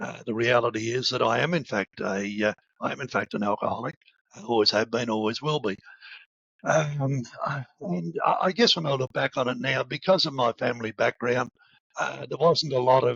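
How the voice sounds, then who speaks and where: A man with an Australian accent talks at a moderate pace and medium pitch, with ordinary pitch variation. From rural southern Australia. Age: 70s. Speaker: recovery advocate. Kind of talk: personal testimony. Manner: halting, many repetitions.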